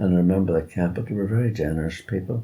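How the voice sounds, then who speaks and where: This man has a very deep, low pitch and a dark, mellow tone that comes across somewhat breathy. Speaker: war-time childhood witness, oral history interviewee. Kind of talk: oral history interview answer.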